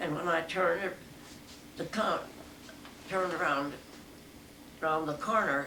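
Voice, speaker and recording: A woman's fairly low voice at a moderate pace, with long, frequent pauses and noticeable background noise. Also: ordinary pitch variation. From New Mexico, USA. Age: 80s+. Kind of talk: interview answer.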